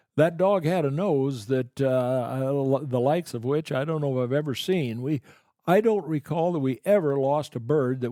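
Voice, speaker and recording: A man with a Midwestern American accent speaks at a moderate pace. His pitch is medium, with ordinary variation. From Boone, Iowa. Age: 80s+. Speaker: retired upland bird hunter. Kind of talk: podcast interview answer. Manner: hesitant, halting.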